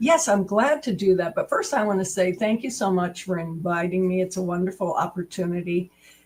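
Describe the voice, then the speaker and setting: A woman's medium-pitched voice with a New England accent, fairly quick with hardly any pauses and ordinary pitch variation, against noticeable background noise. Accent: New England American. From US New England. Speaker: assessment and measurement expert. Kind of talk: interview.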